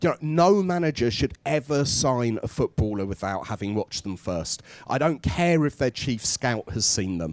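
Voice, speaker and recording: The pitch swings very widely as the words come at a moderate pace with hardly any pauses. The sound is dry and close, with no echo. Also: man, medium pitch for a man. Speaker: games studio director. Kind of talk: live panel Q&A. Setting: stage with audience in a store.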